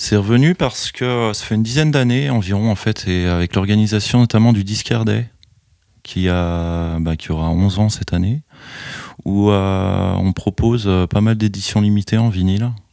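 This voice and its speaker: A man's dark, mellow tone carries ordinary pitch variation at a moderate pace. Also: fairly low pitch for a man. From France, Chalon-sur-Saône (Burgundy). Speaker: record shop owner. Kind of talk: interview. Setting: record shop.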